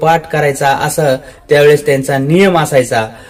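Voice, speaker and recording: Ordinary pitch variation is heard beneath noticeable background noise. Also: man. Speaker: local news presenter. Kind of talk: casual report to camera.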